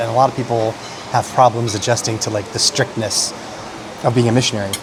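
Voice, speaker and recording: A quiet man's voice at medium pitch, with an American accent and fairly even intonation, over noticeable background noise. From United States. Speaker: food vlogger. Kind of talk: casual chat.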